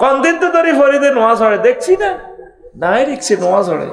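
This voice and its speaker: With a Noakhali accent, a man speaks at an extremely high pitch with very wide pitch swings over noticeable background noise. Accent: Noakhali Bengali regional dialect. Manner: scolding, accusing.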